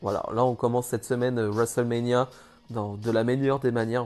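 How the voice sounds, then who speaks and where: Here a man with medium pitch and a dark, mellow tone talks at a moderate pace. The background is quiet. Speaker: wrestling commentator YouTuber. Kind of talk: casual video review. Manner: halting.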